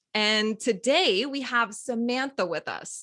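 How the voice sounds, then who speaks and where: A woman with lively intonation against a quiet background. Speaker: hypnotherapist and recovery coach. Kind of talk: interview. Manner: calm, soothing.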